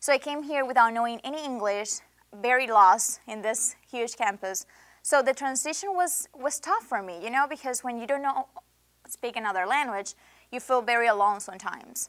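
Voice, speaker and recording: A woman with a Venezuelan accent speaks at a moderate pace in a high voice, her pitch varying in an ordinary way while her loudness swings widely. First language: Spanish. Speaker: international student. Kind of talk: interview. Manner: impassioned.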